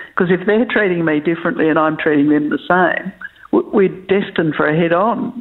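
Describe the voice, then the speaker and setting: With noticeable background noise behind her, a woman with an Australian accent speaks fairly quickly at a medium pitch, her intonation lively and her loudness very even. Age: 60s. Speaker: farm succession planning facilitator. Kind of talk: podcast interview. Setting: remote interview from home.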